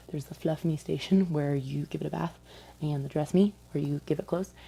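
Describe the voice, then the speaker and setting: Very fast yet soft-spoken, a woman talks in a dark, mellow, somewhat breathy tone with a very deep, low pitch. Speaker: vlogger, retail store employee. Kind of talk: casual vlog storytelling. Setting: at home late at night. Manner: quiet, talking softly.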